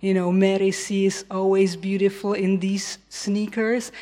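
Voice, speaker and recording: A woman speaks at a fairly slow pace in a Czech accent. Background noise is noticeable. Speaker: radio host and music educator. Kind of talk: event moderation and presentation. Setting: stage with audience.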